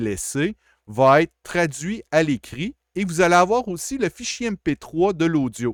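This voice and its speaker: The man's fairly high-pitched voice sounds dry and close with no echo on a very clean recording with a silent background. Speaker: college IT support staff. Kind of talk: tutorial. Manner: casual, with hesitations.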